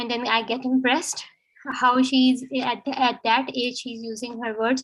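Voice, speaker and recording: On a very clean recording with a silent background, a woman in a Pakistani accent speaks at a high pitch with monotone, flat intonation. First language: Urdu. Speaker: student of international relations. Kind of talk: impromptu speech. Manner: halting.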